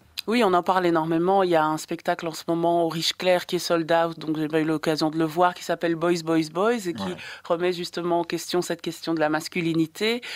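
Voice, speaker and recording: A woman's fairly low voice at a fairly quick pace, with hardly any pauses and fairly even intonation, on a very clean recording with a silent background. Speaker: radio film columnist. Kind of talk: radio interview. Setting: radio studio. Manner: hesitant.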